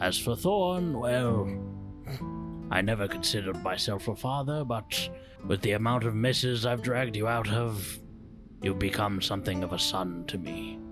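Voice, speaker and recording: A put-on character voice moves at a moderate pace while music plays clearly in the background. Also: man, fairly low pitch for a man. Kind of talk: earnest fantasy roleplay. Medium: actual play. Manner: measured, gentle, slightly halting with hesitations.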